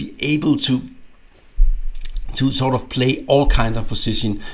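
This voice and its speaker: A man speaks with a Danish accent at a moderate pace. His pitch varies in an ordinary way. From Denmark. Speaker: chess grandmaster and coach. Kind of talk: instructional video. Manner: halting, many fillers and repetitions.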